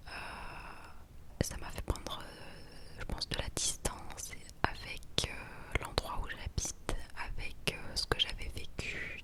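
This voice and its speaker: Whispering in a relaxed tone, a woman goes at a very slow pace over noticeable background noise. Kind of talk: whispered ASMR vlog to camera. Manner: whispered, soft-spoken, relaxed.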